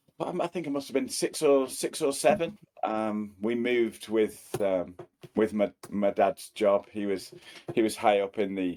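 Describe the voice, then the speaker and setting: Lively in intonation yet fairly slow in pace, a man with a Cheshire accent speaks in a fairly low pitch with a dark, mellow tone. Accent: northern English (Cheshire). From Cheshire, England. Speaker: property company colleague. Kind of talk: casual interview.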